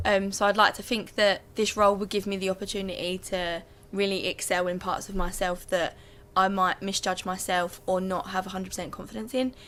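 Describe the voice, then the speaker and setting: Fairly quick, flat monotone speech from a woman. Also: medium pitch for a woman. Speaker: student election candidate. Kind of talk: debate closing statement. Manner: loud.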